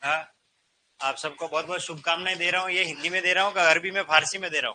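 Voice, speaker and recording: The speaker is a man with a high pitch. His tone is animated. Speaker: Hindi teacher at coaching institute. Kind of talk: classroom lecture. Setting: classroom with students. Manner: conversational, animated. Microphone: no microphone today.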